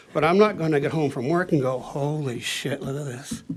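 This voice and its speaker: A man with a fairly high pitch and ordinary pitch variation is speaking. Background noise is noticeable, along with audible room echo. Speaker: resident speaking at council meeting. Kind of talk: public comment at council meeting. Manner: animated.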